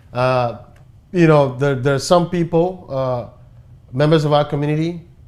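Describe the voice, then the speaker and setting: With a Ghanaian accent, a man speaks at a moderate pace with a fairly high pitch and fairly even intonation. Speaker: talk show host. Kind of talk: talk show discussion.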